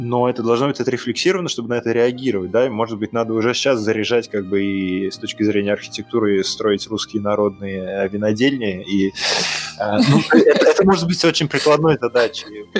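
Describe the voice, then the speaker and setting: Fairly quick speech from a man at a medium pitch, ordinary pitch variation throughout, over noticeable background noise. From Russia, Saint Petersburg. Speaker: architect, firm founder. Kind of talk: casual interview. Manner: halting, many fillers and repetitions.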